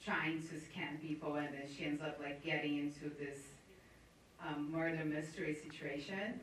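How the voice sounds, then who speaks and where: A woman with an American accent and a very deep, low voice speaks at a moderate pace, with audible room echo and noticeable background noise. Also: fairly even intonation. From Brazil, Rio de Janeiro. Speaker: screenwriter. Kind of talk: panel interview.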